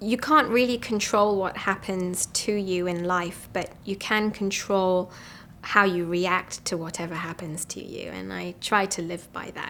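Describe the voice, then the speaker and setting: Speaking at a fairly slow pace, a woman with an English accent has a bright, sharp tone at a medium pitch. Her pitch varies in an ordinary way, while her loudness swings widely. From England. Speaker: physician. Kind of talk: interview. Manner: hesitant, many ums.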